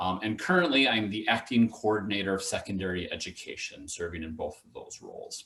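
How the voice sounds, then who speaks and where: A man with a Wisconsin accent talks at a fairly quick pace with hardly any pauses. His loudness swings widely. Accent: noticeable Wisconsin. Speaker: education official and teacher educator. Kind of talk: conference presentation. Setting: video call. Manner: fast.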